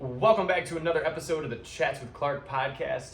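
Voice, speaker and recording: A man with an American accent, lively intonation and a fairly quick pace, plus audible room echo and noticeable background noise. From US Midwest, Cleveland, Ohio. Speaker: podcast host. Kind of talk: casual chat. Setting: in person at guest's coffee shop.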